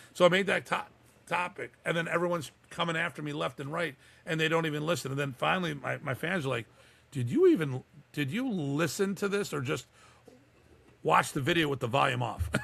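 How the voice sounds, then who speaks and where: A man with an American accent, fairly high in pitch, with vocal fry, an animated tone, ordinary pitch variation and a fairly quick pace, on a very clean recording with a silent background. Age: 60s. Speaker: martial arts instructor. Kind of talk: podcast interview.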